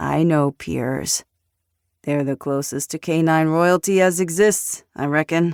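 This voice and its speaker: Gruff and middle-pitched, a put-on character voice goes at a fairly slow pace in a very clean recording with a silent background. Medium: read story. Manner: gruff, threatening.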